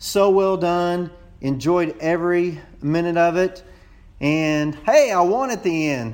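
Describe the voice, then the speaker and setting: A man speaks with a Texas accent. His pitch is high. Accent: Texas drawl. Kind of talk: voicemail message.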